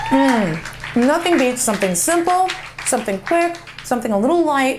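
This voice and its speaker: A woman's voice with very wide pitch swings over light background noise. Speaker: home cooking host. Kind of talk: casual cooking tutorial. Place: kitchen. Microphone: lapel.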